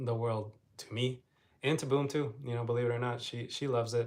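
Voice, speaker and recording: Here a man speaks at a medium pitch, somewhat breathy. His intonation is monotone and flat. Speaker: travel vlogger. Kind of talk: casual live stream chat. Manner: flat, low energy.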